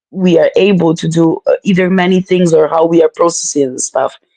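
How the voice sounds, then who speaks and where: A woman with a non-native accent speaks at a fairly low pitch. There is music in the background, and the sound is dry and close with no echo. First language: not English. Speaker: mother of three, guest. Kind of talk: casual chat. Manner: animated.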